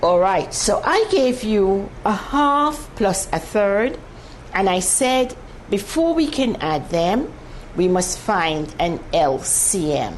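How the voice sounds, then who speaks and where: A woman of medium pitch with very wide pitch swings, speaking at a very slow pace, with audible room echo and noticeable background noise. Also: very even loudness. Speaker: mathematics teacher on TV. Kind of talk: televised maths lesson. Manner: slow, deliberate.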